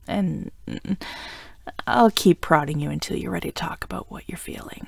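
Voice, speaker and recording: A woman whispering at a moderate pace, in a warm, playful tone with big swings in loudness. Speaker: voice actor, audio roleplay performer. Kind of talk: audio roleplay, scripted romantic ASMR. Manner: warm, playful, comforting, affectionate.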